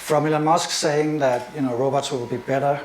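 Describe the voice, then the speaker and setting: Noticeable background noise and audible room echo surround a speaker with a Danish accent. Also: man. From Denmark. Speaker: AI and media expert, presenter. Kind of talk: lecture. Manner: fast.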